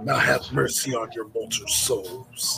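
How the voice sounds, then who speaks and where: Using a put-on character voice, a man speaks fairly slowly at medium pitch with a raspy quality. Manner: gravelly, menacing.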